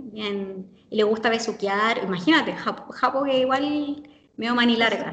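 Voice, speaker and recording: Ordinary variation marks the pitch. The delivery is fairly slow. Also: woman, fairly high pitch for a woman. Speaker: language teacher who lived in Japan. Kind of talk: interview.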